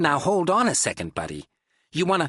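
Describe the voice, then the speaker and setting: A man puts on a growling character voice at a high pitch. He talks at a fairly quick pace. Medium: read story. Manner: gruff, dismissive.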